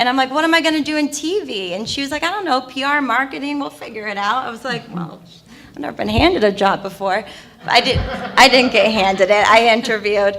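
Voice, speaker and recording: Noticeable background noise sits under a woman's high-pitched voice. She talks at a very fast pace with lively intonation and big swings in loudness. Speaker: TV integration executive. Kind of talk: panel introduction.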